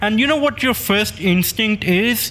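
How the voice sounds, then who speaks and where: Speaking at a fairly slow pace, the voice carries a non-native accent. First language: not English. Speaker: gaming YouTuber. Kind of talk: casual monologue.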